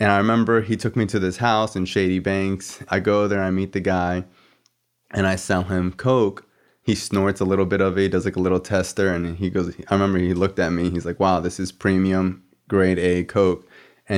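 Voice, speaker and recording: Against a quiet background, a man with an American accent talks fairly quickly in a very deep, low pitch, monotone and flat. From South Florida. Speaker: podcast host. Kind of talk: casual chat.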